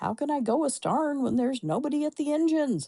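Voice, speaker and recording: A female-sounding put-on character voice growls, gruff and high-pitched for a woman. The pace is very fast. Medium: read story. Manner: growling, gruff.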